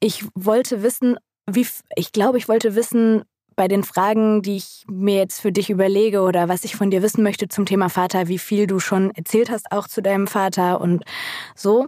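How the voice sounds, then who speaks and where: Mellow and dark in tone, the voice holds a fairly even intonation. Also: woman, medium pitch for a woman, moderate pace. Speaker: podcast co-host, book talk. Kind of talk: casual chat.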